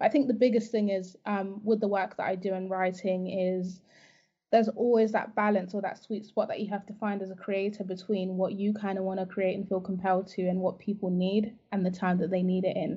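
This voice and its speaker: Flat, monotone intonation carries words delivered fairly quickly. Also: woman, medium pitch for a woman. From Zimbabwe. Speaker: life coach. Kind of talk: interview conversation.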